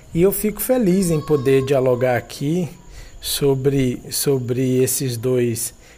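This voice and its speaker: This man's voice has a dark, mellow tone and is somewhat breathy. His pitch swings very widely. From Ceará, Brazil (Fortaleza). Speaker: philosophy professor. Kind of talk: academic interview. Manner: formal.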